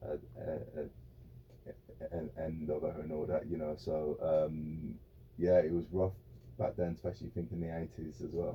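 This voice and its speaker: With a West Midlands accent, the voice shows vocal fry and ordinary pitch variation. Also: man, very deep, low pitch for a man. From English Midlands (Birmingham / Wolverhampton area). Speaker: former football goalkeeper. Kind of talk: interview. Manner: halting, many repeated words and fillers.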